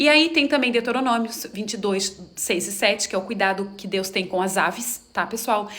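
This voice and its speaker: A woman keeps up a fairly quick pace while noticeable background noise runs underneath. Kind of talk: monologue to camera, religious talk. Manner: animated.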